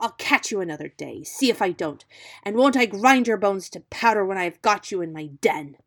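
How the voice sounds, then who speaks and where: A woman puts on a character voice at a medium pitch. She sounds angry and moves at a fairly quick pace. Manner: angry, fierce.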